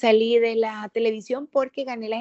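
This woman has an unremarkable speaking voice, fairly high in pitch. She talks at a fairly slow pace with fairly even intonation. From El Salvador, Sonsonate. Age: 30s. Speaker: politician, lawyer and former TV presenter. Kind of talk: podcast interview.

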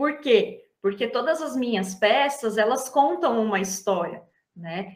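This is a woman's voice. Her pitch is fairly high. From São Paulo state, Brazil (Atibaia). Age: 30s. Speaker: embroidery artisan. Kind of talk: interview.

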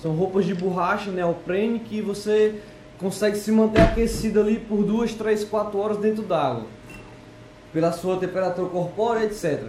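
With audible room echo and noticeable background noise, a man talks at a moderate pace. His pitch is high and his intonation fairly even. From Ceará, Brazil (Fortaleza). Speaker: amateur surfer. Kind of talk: casual chat.

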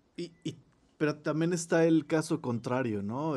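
Speaking at a fairly slow pace with a Mexican accent, a man uses ordinary pitch variation. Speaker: podcast host. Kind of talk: casual chat. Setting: recording from home.

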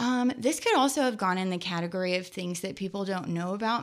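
Here a woman speaks with an American accent at a medium pitch, with ordinary pitch variation. The recording is very clean, with a silent background. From New Jersey and Kentucky. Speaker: sociology professor. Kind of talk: interview.

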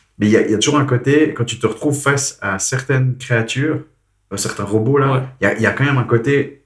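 This man has a medium pitch and a somewhat breathy voice. He speaks at a fairly quick pace with fairly even intonation. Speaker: podcast host. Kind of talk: casual chat. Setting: recording at host's home.

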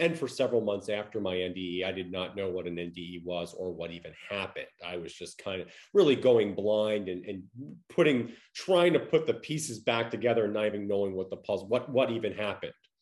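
Talking at a fairly quick pace in an ordinary speaking voice, a man with an American accent uses lively intonation and big swings in loudness over a quiet background. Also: fairly low pitch for a man. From Long Island, New York. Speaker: near-death experiencer. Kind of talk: interview.

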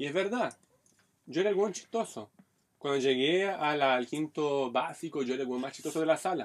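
A man's fairly high voice at a moderate pace. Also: lively intonation. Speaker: stand-up comedian. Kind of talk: casual chat. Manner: clipped, choppy delivery.

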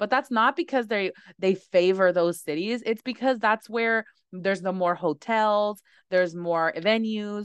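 In a normal speaking voice, a woman talks fairly slowly, her medium pitch varying in an ordinary way. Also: dry, close sound with no echo, quiet background. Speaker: podcast host and lash trainer. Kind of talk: casual interview chat.

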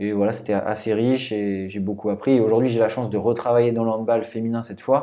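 This man's medium-pitched voice moves at a fairly quick pace in a flat monotone, with hardly any pauses. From Brittany, southern Finistère. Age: 20s. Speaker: strength and conditioning coach. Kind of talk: casual interview.

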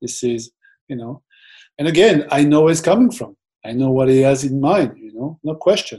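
With a French accent, a man speaks at a moderate pace in a fairly high pitch, his tone dark and mellow, somewhat breathy, with lively intonation. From France. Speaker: football fitness coach. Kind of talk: interview.

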